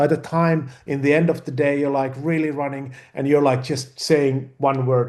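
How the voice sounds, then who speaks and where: A man with a Finnish accent speaks at a moderate pace with a fairly high pitch. His tone is dark and mellow, his intonation monotone and flat. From Finland. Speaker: film director. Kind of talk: interview. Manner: halting, many repeated words and fillers.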